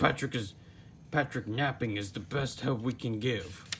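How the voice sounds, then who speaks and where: Using a put-on character voice, a man sounds raspy at a moderate pace, with clear background noise behind him. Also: medium pitch for a man. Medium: read story. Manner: gruff, bossy.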